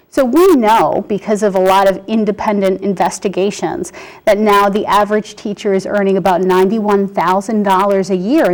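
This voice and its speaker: A woman talks at a fairly quick pace and medium pitch. Noticeable background noise is heard behind her. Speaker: parent advocate. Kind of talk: studio interview. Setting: studio. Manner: animated.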